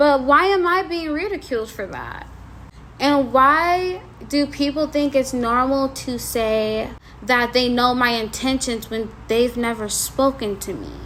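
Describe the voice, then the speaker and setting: A woman speaks high-pitched with lively intonation while noticeable background noise carries on behind her. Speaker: YouTuber. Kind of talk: commentary vlog.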